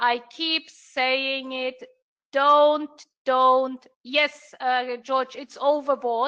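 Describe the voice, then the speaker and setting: A woman with a German accent projects a raised, high voice with a bright, sharp tone, speaking very slowly in monotone, flat intonation. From Germany. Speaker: trading mentor. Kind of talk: live trading room commentary. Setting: live online stream. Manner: hesitant, many fillers.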